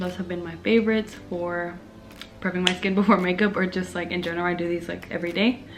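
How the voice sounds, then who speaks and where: Soft-spoken and flat in intonation, a woman with a medium-pitched voice talks at a fairly quick pace over noticeable background noise. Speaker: beauty YouTuber. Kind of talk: makeup tutorial. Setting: home video under ring light.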